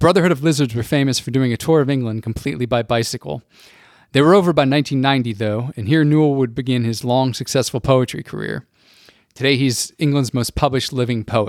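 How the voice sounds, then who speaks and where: A man speaks in an ordinary speaking voice at a fairly quick pace and medium pitch, with ordinary pitch variation. The recording is very clean, dry and close, with a silent background and no echo. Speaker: podcast host and music writer. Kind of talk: scripted intro then interview.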